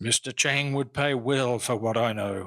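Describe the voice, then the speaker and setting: Using a put-on character voice, a man speaks in a raspy tone at medium pitch and a moderate pace, the sound dry and close with no echo. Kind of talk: 1940s radio acting. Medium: audio drama. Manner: wheedling, lower-class grammar.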